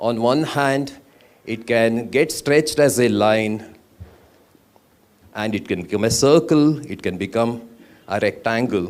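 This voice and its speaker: A man with a Karnataka accent, medium-pitched, with ordinary pitch variation, a fairly slow pace and long, frequent pauses. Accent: Indian English (Kannada). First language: Kannada. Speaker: architect and poet. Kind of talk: conference talk.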